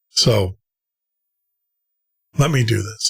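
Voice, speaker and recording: The voice is somewhat breathy with ordinary pitch variation, and the sound is dry and close with no echo. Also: man. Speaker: radio show host. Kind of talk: call-in radio show.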